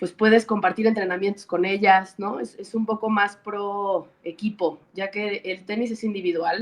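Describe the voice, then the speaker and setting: In a Mexican accent, a woman speaks at a fairly slow pace with hardly any pauses, using a medium pitch and fairly even intonation. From Mexico. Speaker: former professional tennis player, tennis coach. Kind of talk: interview.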